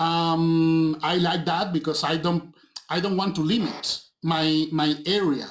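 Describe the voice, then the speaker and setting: With a Spanish accent, a man is talking. His pitch is fairly high. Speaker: film director and visual effects supervisor. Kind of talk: interview. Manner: halting, with frequent repetitions.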